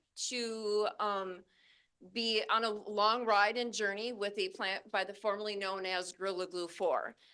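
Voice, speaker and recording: Against a quiet background, a woman speaks loudly in a fairly high, bright, sharp voice with ordinary pitch variation. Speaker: cannabis grower and instructor. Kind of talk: presentation to class audience.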